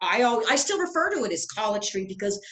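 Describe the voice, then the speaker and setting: Noticeable background noise fills the recording. Over it, the words come at a very fast pace. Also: woman. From Santa Fe, New Mexico. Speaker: real estate guide. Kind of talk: interview questions.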